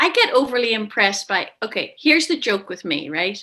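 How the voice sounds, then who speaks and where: A woman with a Belfast accent talks at a moderate pace. Her tone is bright and sharp, and her pitch sits fairly high. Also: very clean recording, silent background. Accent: Belfast, Northern Irish. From west Belfast, Northern Ireland. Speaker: actress. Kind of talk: interview answer.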